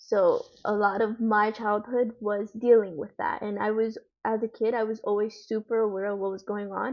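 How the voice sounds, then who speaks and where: Hardly pausing, a woman with a Spanish accent speaks at a moderate pace and a fairly high pitch in a monotone, flat intonation. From United States, Dominican family. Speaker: guest, daughter of immigrants. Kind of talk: interview.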